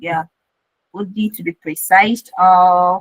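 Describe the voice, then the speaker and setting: A woman's somewhat breathy, medium-pitched voice comes across dry and close, with no echo. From Eastern Nigeria, Enugu. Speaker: Web3 educator, community manager. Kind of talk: online class lecture.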